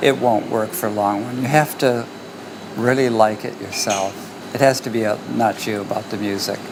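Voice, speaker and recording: With an American accent, the speaker keeps a moderate pace over noticeable background noise. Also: man, medium pitch for a man, fairly even intonation. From US, Detroit. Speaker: musician. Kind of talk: interview.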